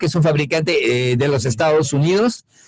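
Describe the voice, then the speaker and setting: This man speaks with a French accent. His pitch rises and falls in an ordinary way. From France. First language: French (speaking Spanish). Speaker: economist at international commodity organization. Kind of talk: conference lecture. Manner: hesitant, many fillers.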